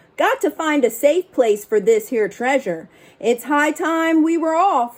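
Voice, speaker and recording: Using a high-pitched, put-on character voice, a woman speaks at a fairly slow pace. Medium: read story. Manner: loud, gruff, pirate slang.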